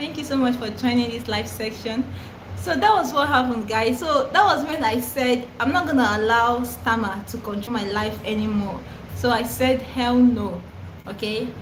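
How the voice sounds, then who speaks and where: A woman with a Nigerian accent speaks at a moderate pace with a fairly high pitch and ordinary pitch variation. Noticeable background noise and audible room echo are present. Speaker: content creator who stammers. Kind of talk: live stream Q&A. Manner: stammers, repetitions and fillers; casual, chatty.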